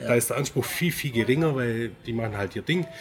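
Against noticeable background noise, a man talks at a fairly quick pace with a medium pitch and ordinary pitch variation. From Swabia, Baden-Württemberg (Göppingen). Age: 40s. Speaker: wedding photographer. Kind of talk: casual interview.

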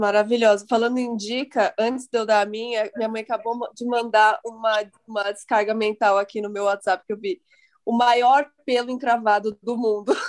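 In an unremarkable speaking voice, a woman with fairly high pitch talks at a moderate pace with fairly even intonation, the sound dry and close with no echo. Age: 30s. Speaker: podcast host. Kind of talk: casual chat.

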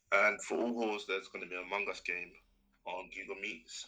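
A man speaks in a London accent. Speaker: business student. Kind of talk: casual chat.

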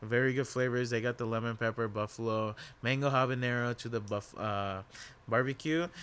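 At a medium pitch and a fairly quick pace, a man speaks in a plain, everyday voice with fairly even intonation. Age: 20s. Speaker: podcast co-host and bank teller. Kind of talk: casual chat.

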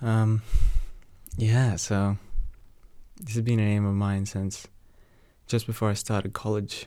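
A man's quiet, dark, mellow voice. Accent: Australian. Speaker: solo podcaster, university student. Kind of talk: casual personal monologue. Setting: home recording at night with rain. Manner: talking quietly; rambling with many fillers and laughs.

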